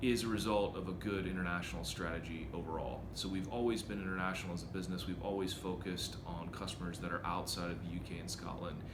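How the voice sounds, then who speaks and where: A man with an American accent and a very deep, low pitch talks at a very fast pace with hardly any pauses. His pitch varies in an ordinary way, and the room echo is audible. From China (American expat upbringing). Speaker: software company CEO. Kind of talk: interview.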